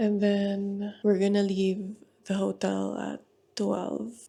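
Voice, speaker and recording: Delivery is fairly slow. This speaker is soft-spoken. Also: woman. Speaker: vlogger. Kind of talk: casual vlog talk.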